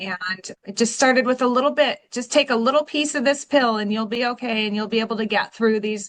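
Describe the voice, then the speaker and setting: With an American accent, a woman in an unremarkable speaking voice talks at a fairly quick pace with hardly any pauses, her fairly high pitch showing ordinary variation. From Washington State, US (Pacific Northwest). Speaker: recovering addict, real estate agent. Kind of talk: personal testimony in interview.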